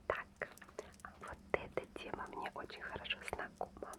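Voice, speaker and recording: Noticeable background noise fills the recording. Through it, a woman whispers very slowly. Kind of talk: ASMR magazine flip-through. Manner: close whispered.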